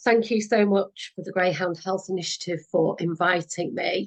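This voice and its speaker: With a British accent and fairly even intonation, a woman speaks in a dry, close sound with no echo. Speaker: veterinary physiotherapist. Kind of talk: presentation.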